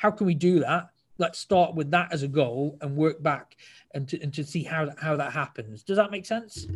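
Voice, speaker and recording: In a British accent, a somewhat breathy man speaks with a fairly high pitch and ordinary variation on a very clean recording with a silent background. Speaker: judo club marketing specialist. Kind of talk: casual interview. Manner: fast.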